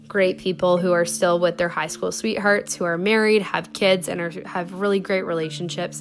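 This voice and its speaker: Over noticeable background noise, a woman with fairly low pitch and fairly even intonation talks at a moderate pace. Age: 20s. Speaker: podcast host. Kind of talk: casual solo chat. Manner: casual with many fillers.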